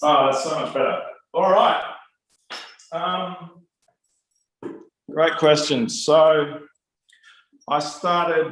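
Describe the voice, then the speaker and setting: The voice is loud, with an Australian accent, a very slow pace, long, frequent pauses and ordinary pitch variation, all in audible room echo. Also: man, high pitch for a man. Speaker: musician and music teacher. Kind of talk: interview.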